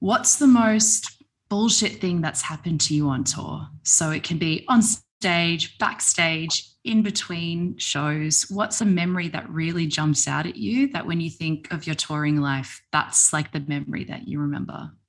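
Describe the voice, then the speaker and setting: At a fairly slow pace, a woman with a fairly low voice speaks with lively intonation. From Australia, Melbourne. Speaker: podcast host. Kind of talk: casual interview. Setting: video call.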